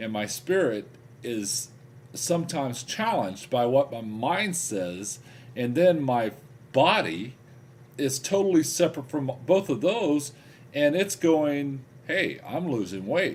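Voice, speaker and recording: A man's fairly high voice, with very wide pitch swings, at a fairly slow pace. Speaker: weight-loss video blogger. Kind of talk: video diary.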